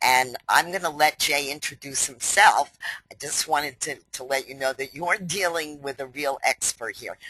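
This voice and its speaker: A woman's very deep, low voice with a bright, sharp tone, a New York accent and ordinary pitch variation. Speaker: company president hosting webinar. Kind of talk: webinar introduction. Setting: online webinar.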